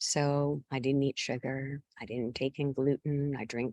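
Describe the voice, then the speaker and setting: With an American accent, a woman speaks at a fairly slow pace in a very deep, low pitch with fairly even intonation, recorded with a dry, close sound with no echo. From US Northeast. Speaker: guest speaker on health and wellness. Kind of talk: personal testimony. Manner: halting, many fillers.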